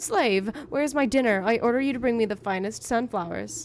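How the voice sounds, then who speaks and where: A shrill, put-on character voice from a woman, fairly high in pitch and fairly quick in pace, over clear background noise. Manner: demanding, haughty.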